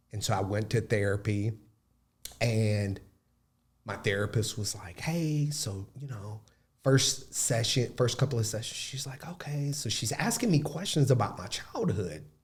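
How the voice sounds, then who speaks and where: A man with an Alabama accent talks at a fairly slow pace in a somewhat breathy, medium-pitched voice, his pitch varying in an ordinary way as his loudness swings widely. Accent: Southern US (Alabama). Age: young. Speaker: podcast guest. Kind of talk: casual interview conversation.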